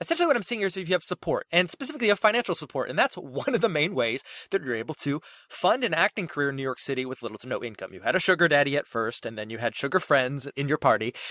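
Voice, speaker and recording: Talking at a very fast pace, a man with a fairly high pitch and a bright, sharp tone makes very wide pitch swings. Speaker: podcast host. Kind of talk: podcast interview questions.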